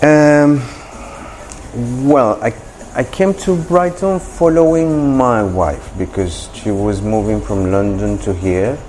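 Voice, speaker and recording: A man's medium-pitched voice with very wide pitch swings, a very slow pace and long, frequent pauses, over noticeable background noise. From Colombia. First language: Spanish. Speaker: coffee shop owner. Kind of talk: interview. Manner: halting.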